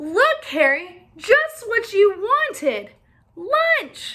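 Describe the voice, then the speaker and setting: A woman's put-on character voice, extremely high and squeaky, with very wide pitch swings and a very slow pace. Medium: read story.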